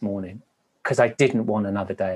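A man with a Welsh accent talks with ordinary pitch variation. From Wales. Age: 50s. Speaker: former TV dating show host. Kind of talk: interview.

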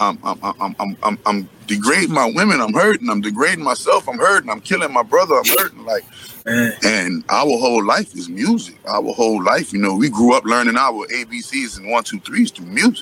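The man's tone is animated, at a moderate pace. He leaves hardly any pauses. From New Orleans, US South. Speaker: commentator. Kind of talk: impassioned monologue.

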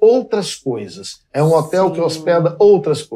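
This man's voice sits at a fairly high pitch with a dark, mellow tone. He speaks at a fairly slow pace. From Minas Gerais, Belo Horizonte. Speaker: fashion designer. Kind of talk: casual chat. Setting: in a home.

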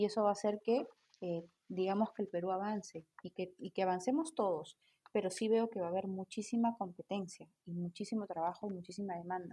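This woman talks at a fairly quick pace, with a medium pitch and a dark, mellow tone. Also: ordinary pitch variation. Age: 30s. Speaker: tarot reader and spiritual guide. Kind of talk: casual interview chat.

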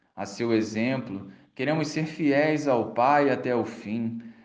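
A man speaks with a Brazilian accent. His tone is solemn and his pace fairly slow. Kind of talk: fervent prayer. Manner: devout, solemn, slow and reverent; intimate, pleading, imploring tone.

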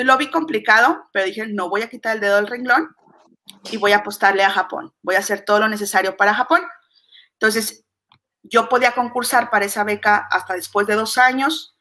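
A woman at a fairly quick pace, her fairly high voice showing ordinary pitch variation. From Mexico. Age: 40s. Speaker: business coach. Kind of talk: interview. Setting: video call.

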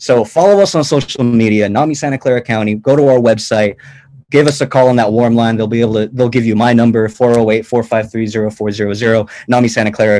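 A man's medium-pitched voice with an American accent, fairly even intonation, a moderate pace, and an ordinary speaking voice. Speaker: nonprofit events manager. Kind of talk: casual chat.

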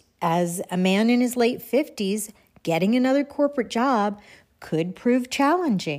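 A plain, everyday voice, with very even loudness and lively intonation at a fairly slow pace, on a very clean recording with a silent background. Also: woman, fairly high pitch for a woman. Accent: American. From Texas. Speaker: podcast host. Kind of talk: reflective personal monologue.

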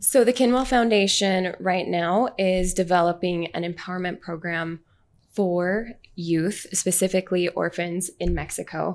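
An unremarkable speaking voice with an American accent, fairly slow and with fairly even intonation, on a very clean recording with a silent background. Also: woman, medium pitch for a woman. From Utah, Orem. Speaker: charity founder. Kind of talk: interview.

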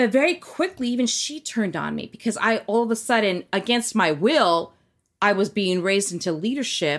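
A woman with an unremarkable speaking voice talks at a fairly high pitch and a moderate pace with lively intonation. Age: 40s. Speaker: former cult member. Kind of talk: casual chat.

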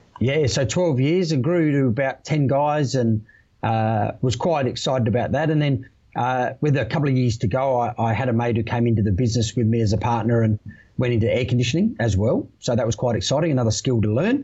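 Somewhat breathy speech moves at a fairly quick pace with ordinary pitch variation and very even loudness. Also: man, medium pitch for a man. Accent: Australian. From Australia, Adelaide. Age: 40s. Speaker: electrical industry manager, former electrician and army veteran. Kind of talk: podcast interview.

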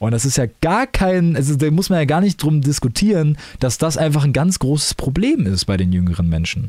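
Somewhat breathy, with a dark, mellow tone, a man talks at a fairly high pitch and moderate pace, his pitch swinging very widely while his loudness stays very even. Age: 20s. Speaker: podcaster and streamer. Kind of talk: casual solo monologue. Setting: home recording in his room.

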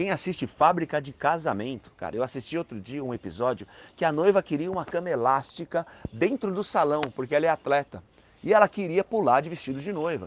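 A man's fairly high, fry-edged voice with very wide pitch swings at a fairly quick pace, dry and close with no echo. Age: 40s. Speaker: event caterer. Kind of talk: advice segment.

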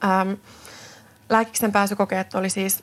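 A woman with a Swedish accent talks at a moderate pace in a flat monotone, with noticeable background noise. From Finland, Tuusula (Finland-Swedish). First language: Swedish (speaking Finnish). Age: 30s. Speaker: physiotherapist and podcast host. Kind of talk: solo podcast monologue. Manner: hesitant, many fillers.

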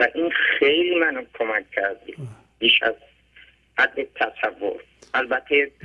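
Long, frequent pauses break up the man's speech, delivered at a very slow rate. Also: fairly high pitch for a man, lively intonation. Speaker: caller. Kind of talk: phone-in testimony. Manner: plain simple speech.

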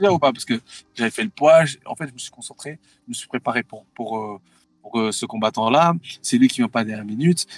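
A man's medium-pitched voice with lively intonation and big swings in loudness, fairly quick, in a dry, close sound with no echo. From Thailand. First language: Thai (speaking French). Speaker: MMA fighter. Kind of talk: interview. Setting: in a car on the road. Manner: halting.

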